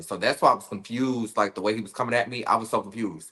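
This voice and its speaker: At a fairly quick pace, a man speaks in a bright, sharp, animated tone at medium pitch against a quiet background. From Detroit, US Midwest. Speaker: reality TV cast member. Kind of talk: interview.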